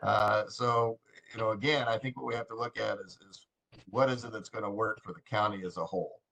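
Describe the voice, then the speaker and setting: A man talks at a moderate pace and a medium pitch in an unremarkable speaking voice. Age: 60s. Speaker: committee member. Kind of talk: meeting discussion.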